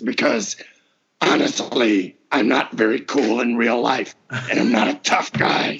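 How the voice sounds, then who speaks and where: A man puts on a character voice, raspy and medium in pitch. He speaks at a fairly slow pace. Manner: strong, intimidating.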